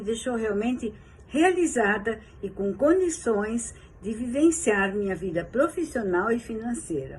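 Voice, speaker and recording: A woman speaks at a fairly slow pace with a fairly high, somewhat breathy voice. Her intonation is lively. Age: 70s. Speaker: yoga teacher and therapist giving a testimonial. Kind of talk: testimony.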